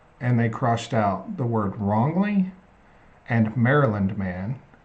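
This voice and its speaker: A somewhat breathy man with an Oklahoma accent at a fairly slow pace. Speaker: live stream host. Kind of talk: casual chat. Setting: live stream on YouTube and TikTok.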